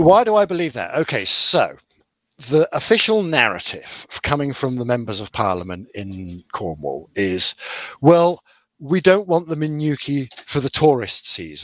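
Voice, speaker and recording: A fairly high male voice at a fairly slow pace, with very wide pitch swings. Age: 40s. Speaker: podcast co-host. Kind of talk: casual chat.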